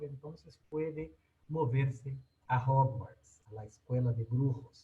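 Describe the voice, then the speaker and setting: A man with a non-native accent speaks in a dark, mellow, somewhat breathy tone. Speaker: technology educator. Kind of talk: webinar presentation. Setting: online webinar. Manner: halting.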